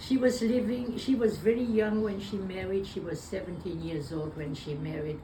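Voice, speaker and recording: A woman talks at a moderate pace with lively intonation and hardly any pauses. Audible room echo and noticeable background noise are present. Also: medium pitch for a woman. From Belgium. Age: 90s. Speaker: war survivor. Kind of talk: interview. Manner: halting.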